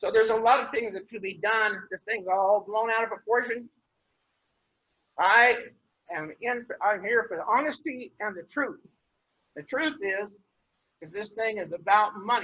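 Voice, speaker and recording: With a western US accent, a man talks at a moderate pace in a high voice, his loudness swinging widely, his pitch varying in an ordinary way, and his pauses long and frequent. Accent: rural western US. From Wyoming, Douglas area. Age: old. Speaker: rancher giving public comment. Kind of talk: public comment at commission meeting. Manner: halting, repetitive restarts; blunt, emphatic.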